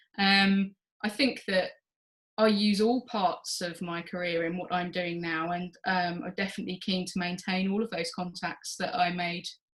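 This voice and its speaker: Her pace is moderate and her pitch medium. The woman's intonation stays fairly even. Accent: English. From England. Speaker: journal editor, former PhD researcher. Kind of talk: interview.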